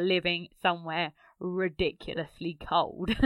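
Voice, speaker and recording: In an Essex accent, a woman talks very slowly at a medium pitch. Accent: southern English (Essex). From Essex, England. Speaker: travel blogger. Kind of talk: recorded contribution, casual.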